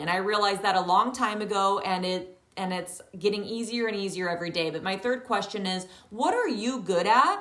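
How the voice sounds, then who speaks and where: With an animated tone, a woman talks fairly quickly at a medium pitch, with audible room echo and noticeable background noise. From rural countryside. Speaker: yoga teacher. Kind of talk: online training talk. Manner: loud.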